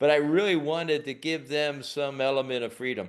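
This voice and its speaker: In an American accent, a man with an unremarkable speaking voice talks at a fairly high pitch and a moderate pace. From United States. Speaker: leadership trainer. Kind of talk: webinar interview.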